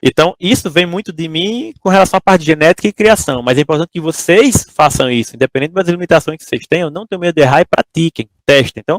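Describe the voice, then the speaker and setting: In a dry, close sound with no echo, a man with a high pitch talks at a very fast pace with hardly any pauses. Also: ordinary pitch variation. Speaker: entrepreneur giving a talk to engineering students. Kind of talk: lecture. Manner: casual, conversational.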